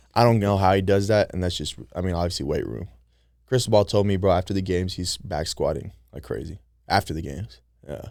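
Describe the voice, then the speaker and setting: A man with a very deep, low pitch and vocal fry, in an American accent, very fast, with ordinary pitch variation, big swings in loudness, and a very clean recording over a silent background. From US West Coast, San Francisco Bay Area. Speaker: college football player. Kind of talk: casual chat. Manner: animated.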